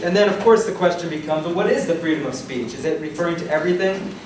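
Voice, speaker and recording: Loud and high-pitched, a man talks with ordinary pitch variation over noticeable background noise and audible room echo. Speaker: law professor debater. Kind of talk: debate speech. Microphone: projecting without a working mic.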